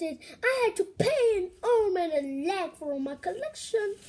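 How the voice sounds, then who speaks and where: A woman's put-on character voice, squeaky and extremely high, at a fairly slow pace. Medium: read story.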